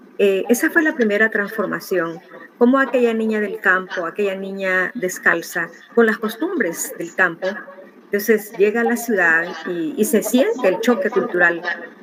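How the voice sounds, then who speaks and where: A woman speaks with ordinary pitch variation. Noticeable background noise runs under her voice. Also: medium pitch for a woman, moderate pace. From El Salvador, rural. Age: 60s. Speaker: interviewee sharing life story. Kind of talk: interview testimony. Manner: halting, many fillers.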